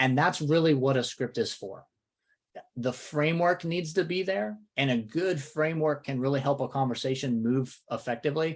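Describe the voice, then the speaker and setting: A man with a Southern accent speaks at a moderate pace in a fairly high voice with ordinary pitch variation, on a very clean recording with a silent background. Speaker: real estate coach. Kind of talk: podcast discussion.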